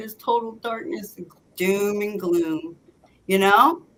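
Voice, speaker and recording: A woman talks at a fairly slow pace with a plain, everyday voice. Her pitch is fairly high and her intonation lively. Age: 60s. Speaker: psychic medium, former deputy sheriff. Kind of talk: casual chat.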